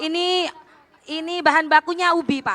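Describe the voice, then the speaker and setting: This is a woman speaking. Her voice is raised and projected. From Bondowoso, East Java, Indonesia. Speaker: small business owner, microfinance participant. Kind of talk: testimony to a dignitary at a public event.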